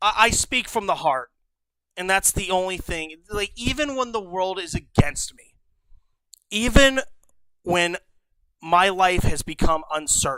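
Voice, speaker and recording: A man with a high, bright, sharp voice projects it loudly, with lively intonation and big swings in loudness. He goes at a fairly slow pace and leaves long, frequent pauses. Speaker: livestreamer. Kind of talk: casual livestream commentary. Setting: home stream room. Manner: stutters, trips over words; emotional, heartfelt.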